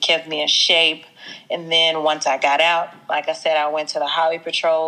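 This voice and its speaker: A woman with an American accent speaks at a moderate pace, her pitch very deep and low. Her intonation is flat and monotone, and noticeable background noise is present. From US South, Mississippi. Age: 20s. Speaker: fitness franchise owner. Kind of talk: casual interview chat.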